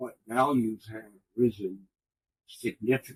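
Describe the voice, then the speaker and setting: A somewhat breathy man with an American accent at a fairly slow pace, in a dry, close sound with no echo. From northern New York, US. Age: 80s+. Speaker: retired newspaper executive and early childhood advocate. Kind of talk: interview.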